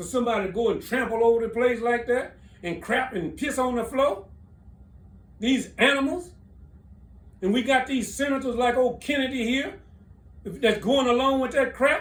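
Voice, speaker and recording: At a moderate pace with ordinary pitch variation, the speaker leaves long, frequent pauses while audible room echo fills the recording. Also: man, extremely high pitch for a man. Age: 70s. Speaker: military veteran. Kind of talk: political commentary. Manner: animated.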